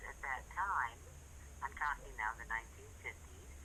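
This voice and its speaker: Noticeable noise sits behind the speech. The speaker is a woman. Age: 70s. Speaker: caller. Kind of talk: casual chat.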